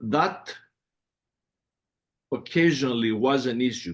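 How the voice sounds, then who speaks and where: Someone with a strong Greek accent speaks at a fairly slow pace. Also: man. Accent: heavy Greek. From Greece, Athens. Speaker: music producer. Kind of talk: interview.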